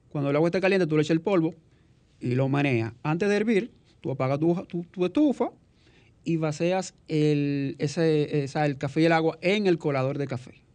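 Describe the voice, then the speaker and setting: A man's normal speaking voice, fairly high in pitch, at a moderate pace with ordinary pitch variation. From Dominican Republic, rural countryside. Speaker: artisan coffee-maker and webmaster. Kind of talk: radio interview. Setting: studio.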